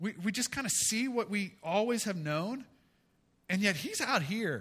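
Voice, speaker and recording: A man with a high pitch talks at a fairly slow pace with lively intonation. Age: 40s. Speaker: pastor. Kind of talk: sermon. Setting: church.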